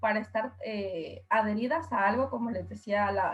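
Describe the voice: Her medium-pitched voice carries a slightly husky edge, and the woman keeps a moderate pace with fairly even intonation.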